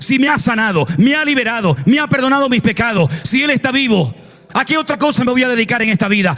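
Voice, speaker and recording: With noticeable background noise behind him, a man talks at a fairly quick pace in an animated tone with lively intonation. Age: 60s. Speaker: pastor. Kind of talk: sermon.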